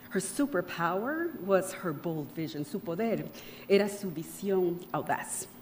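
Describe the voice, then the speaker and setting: A woman with a Spanish accent, medium in pitch, with lively intonation and a fairly slow pace. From Panama. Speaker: keynote speaker. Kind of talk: keynote speech. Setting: luncheon event with audience. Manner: formal.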